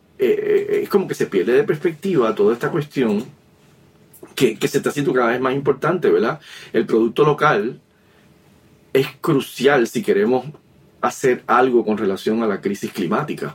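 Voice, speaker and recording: Pausing long and often, a man of medium pitch speaks at a moderate pace with lively intonation. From Puerto Rico, Río Piedras (San Juan area). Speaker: philosophy professor and author. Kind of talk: interview. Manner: halting, many repetitions and fillers.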